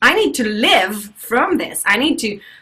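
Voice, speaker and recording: Very wide pitch swings in a woman's fairly high voice. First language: French. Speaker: life coach and motivational speaker. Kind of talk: webinar talk. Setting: video call webinar.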